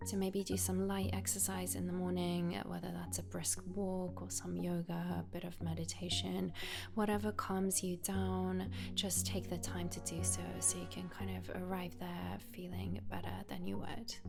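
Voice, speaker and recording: With music in the background, a woman speaks in a very deep, low pitch. Her delivery is monotone and flat, with hardly any pauses. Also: moderate pace. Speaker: yoga teacher. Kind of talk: self-care advice talk to camera.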